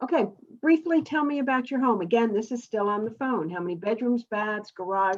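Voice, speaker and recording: A woman speaks at a fairly quick pace in a normal speaking voice, her pitch fairly high and her intonation lively. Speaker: real estate coaching director. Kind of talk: training webinar. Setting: video call with screen share.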